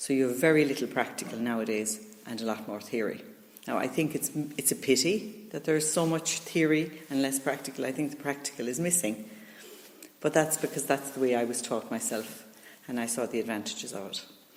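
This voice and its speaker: A woman with an Irish accent speaks fairly quickly and with lively intonation in a very deep, low voice. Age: 60s. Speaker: retired teacher. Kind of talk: interview. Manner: hesitant, many fillers.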